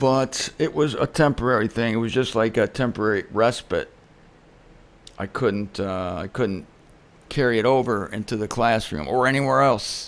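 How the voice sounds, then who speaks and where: With ordinary pitch variation, a man delivers his words in a normal speaking voice. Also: medium pitch for a man, moderate pace. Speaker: religious speaker. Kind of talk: casual talk to camera.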